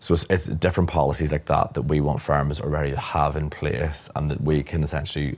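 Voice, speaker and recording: Over noticeable background noise, a man with a Northern Irish accent speaks at a fairly quick pace with hardly any pauses, using a very deep, low pitch and monotone, flat intonation. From Northern Ireland, near Belfast. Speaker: corporate lawyer. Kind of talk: interview conversation.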